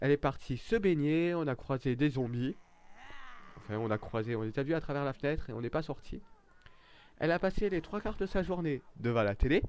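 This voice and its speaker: In a strong southern French accent, a man with a fairly high voice speaks in a sing-song way, leaving long, frequent pauses. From southern France, Nîmes area. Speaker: gaming YouTuber. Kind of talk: let's play gameplay commentary. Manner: sing-song intonation; hesitant, many fillers.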